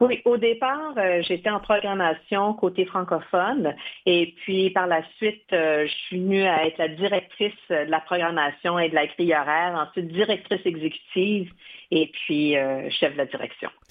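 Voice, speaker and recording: A woman with an unremarkable speaking voice talks at a moderate pace, her fairly low pitch showing ordinary variation. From Quebec, Odanak First Nation. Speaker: television network executive. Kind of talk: interview.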